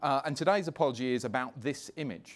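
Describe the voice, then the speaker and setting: A man with a British accent talks at a fairly quick pace in a medium pitch, his intonation lively, on a very clean recording with a silent background. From London, England. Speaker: media executive. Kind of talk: conference presentation.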